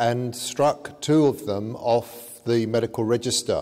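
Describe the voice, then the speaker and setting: A man speaks fairly slowly, his intonation fairly even throughout. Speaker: conference lecturer. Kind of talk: lecture. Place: hall. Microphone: podium.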